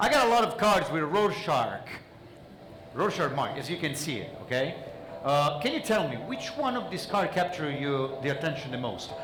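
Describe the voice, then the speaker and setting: Using a non-native accent, a man speaks at a fairly quick pace in an animated tone with lively intonation. Both background noise and room echo are noticeable. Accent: noticeable foreign. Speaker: mentalist. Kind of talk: stage magic performance with audience interaction. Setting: stage with audience.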